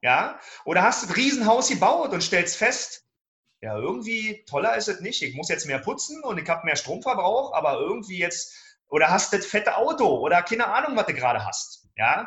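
The man's voice is high in pitch, with very wide pitch swings. He goes at a moderate pace. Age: 40s. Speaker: self-management coach. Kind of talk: podcast interview.

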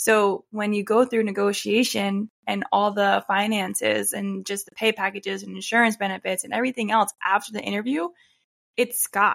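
The sound is dry and close with no echo as a woman speaks at a moderate pace. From Pennsylvania, Bucks County. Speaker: occupational therapist and podcast host. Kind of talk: casual chat.

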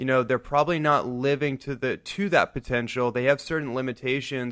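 The man talks at a medium pitch in a monotone, flat delivery. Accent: American. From US West Coast, San Francisco Bay Area. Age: young. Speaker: wellness entrepreneur and lecturer. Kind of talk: radio interview, casual chat. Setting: radio studio.

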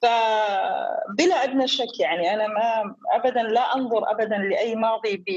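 With hardly any pauses, a woman speaks in an unremarkable speaking voice at a fairly high pitch. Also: lively intonation, fairly slow pace. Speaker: entrepreneur. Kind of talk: interview.

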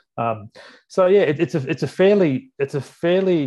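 Against a quiet background, a man with an Australian accent talks at a moderate pace, his dark, mellow tone carried by lively intonation. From Sydney, Australia. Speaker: workplace relations adviser. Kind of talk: podcast interview. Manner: halting.

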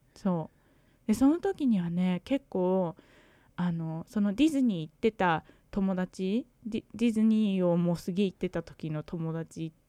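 On a very clean recording with a silent background and a dry, close sound with no echo, a woman speaks at a fairly slow pace with long, frequent pauses, her medium pitch varying in an ordinary way. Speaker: podcast co-host, English learner. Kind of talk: casual chat.

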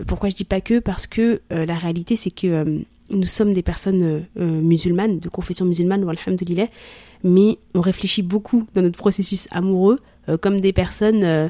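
A woman speaks with a dark, mellow tone and fairly even intonation. The sound is dry and close, with no echo. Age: 30s. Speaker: content creator on love and marriage. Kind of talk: casual chat.

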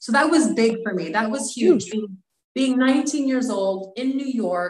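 An unremarkable speaking voice with an American accent. It moves at a fairly slow pace with lively intonation. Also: woman. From US, military family. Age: 40s. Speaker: model and actress. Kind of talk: interview. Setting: podcast.

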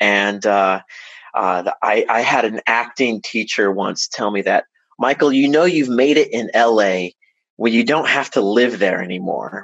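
A man with an unremarkable speaking voice talks at a fairly slow pace, his medium pitch showing ordinary variation. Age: 30s. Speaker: professional musician and band leader. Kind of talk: casual chat.

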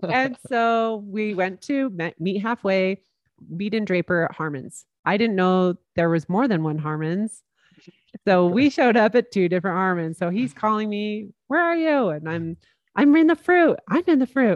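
A woman with a Utah accent at medium pitch, very wide pitch swings and a moderate pace, in dry, close sound with no echo. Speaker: podcast host. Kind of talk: casual chat.

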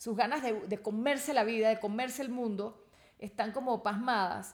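This is a plain, everyday voice with ordinary pitch variation. It moves at a fairly quick pace. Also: woman. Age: 50s. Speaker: Gestalt therapist. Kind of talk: casual chat. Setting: recorded in a bedroom in Bogotá.

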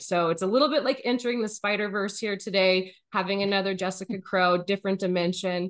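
A woman with an unremarkable speaking voice talks at a moderate pace, her medium pitch moving with ordinary variation. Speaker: podcast host. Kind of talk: casual interview.

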